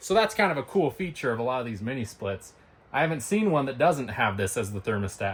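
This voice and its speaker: Somewhat breathy, a man of medium pitch talks at a very fast pace with very wide pitch swings. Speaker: DIY tiny house builder. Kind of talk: video tour with cost breakdown. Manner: casual, conversational.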